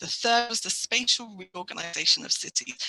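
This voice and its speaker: The speech moves at a fairly quick pace over noticeable background noise. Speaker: international health agency official. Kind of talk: panel discussion. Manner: fast.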